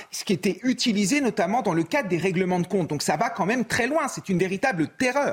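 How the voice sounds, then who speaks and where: A man with a high pitch talks at a fairly quick pace with hardly any pauses. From France, Ardennes. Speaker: teacher and TV pundit. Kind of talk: TV panel debate.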